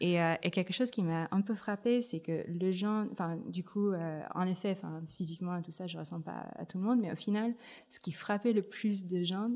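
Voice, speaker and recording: A dark, mellow tone with ordinary pitch variation moves at a moderate pace in a very clean recording with a silent background. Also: woman, medium pitch for a woman. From Philippines, Manila. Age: 30s. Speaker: tech ecosystem director. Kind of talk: interview. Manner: hesitant, many fillers.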